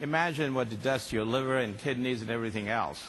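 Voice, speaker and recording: A man's medium-pitched voice at a fairly quick pace, with ordinary pitch variation and audible room echo. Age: 60s. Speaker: company executive and conference speaker. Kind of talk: conference keynote talk.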